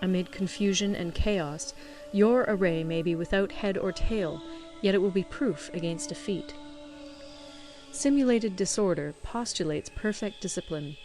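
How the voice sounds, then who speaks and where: Over music in the background, the voice moves through very wide pitch swings. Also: woman, medium pitch for a woman, moderate pace. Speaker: volunteer audiobook reader. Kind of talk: audiobook reading of a classic text.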